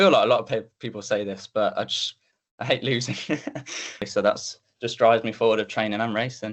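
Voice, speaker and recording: A man talks at a fairly quick pace, yet he leaves long, frequent pauses. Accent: West Midlands. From English Midlands, Coventry. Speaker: athlete. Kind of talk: interview. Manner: casual, hesitant with fillers.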